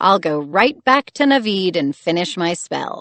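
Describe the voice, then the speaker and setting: A female-sounding, growling put-on character voice at medium pitch and a moderate pace. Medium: read story. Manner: menacing, scheming.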